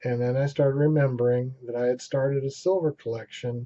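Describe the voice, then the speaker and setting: Fairly even intonation and a moderate pace from a man with a medium pitch, in an ordinary speaking voice. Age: 60s. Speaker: amateur vlogger. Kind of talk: casual vlog monologue.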